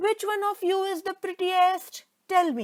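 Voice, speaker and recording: In a put-on character voice, a woman sounds squeaky and extremely high-pitched while speaking at a moderate pace. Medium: read story.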